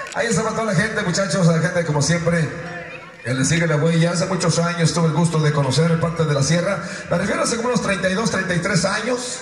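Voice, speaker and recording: A man with a high voice talks very fast with ordinary pitch variation. There is light background noise and audible room echo. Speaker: rodeo announcer / radio host. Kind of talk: rodeo event announcer speech to crowd. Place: stadium. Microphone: pa.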